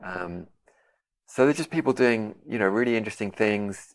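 This man's pitch is fairly low, and he talks at a moderate pace. Behind him the background is silent, in a very clean recording. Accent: London. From London, England. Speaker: composer and guitarist. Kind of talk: interview conversation.

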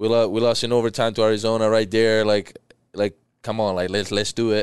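A man talks at a fairly quick pace in a fairly low voice with a clear, smooth tone. His pitch moves only a little.

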